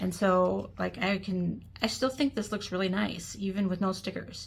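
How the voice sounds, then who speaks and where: A somewhat breathy woman speaks at a moderate pace and medium pitch with ordinary variation. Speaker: planner hobbyist. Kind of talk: casual talk to camera.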